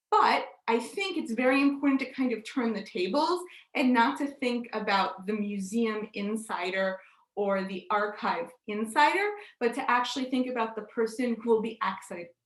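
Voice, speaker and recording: A fairly high-pitched woman with an American accent at a moderate pace, ordinary pitch variation and audible room echo. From United States. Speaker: digital curator and session host. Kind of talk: conference presentation.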